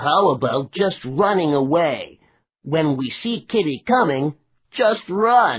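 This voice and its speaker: A put-on character voice at a middle pitch and a fairly slow pace, in a very clean recording with a silent background. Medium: read story.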